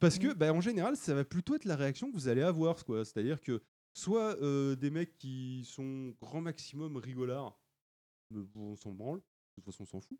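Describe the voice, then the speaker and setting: This man's fairly high, dark and mellow voice, recorded dry and close with no echo, moves at a moderate pace with lively intonation and big swings in loudness. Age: 30s. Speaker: podcast guest presenting a beauty and self-care segment. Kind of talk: casual chat.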